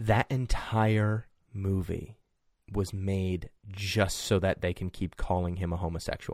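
The background is silent and the recording very clean. An unremarkable speaking voice goes fairly slowly, its intonation fairly level. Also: man, fairly low pitch for a man. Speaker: podcast co-host. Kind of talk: casual chat.

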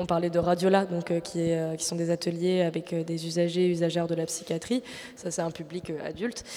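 Over noticeable background noise, a woman with a fairly low pitch speaks in monotone, flat intonation. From Marseille, France. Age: 20s. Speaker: radio host and producer. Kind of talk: live public radio show. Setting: live on stage with audience at arts centre.

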